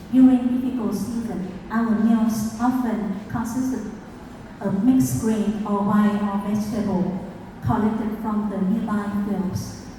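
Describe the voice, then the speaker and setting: Speaking at a fairly slow pace with a Vietnamese accent, a woman's fairly high voice comes through noticeable background noise and audible room echo. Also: fairly even intonation. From Vietnam, rural province. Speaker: food movement founder. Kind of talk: conference talk. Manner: halting, with many fillers.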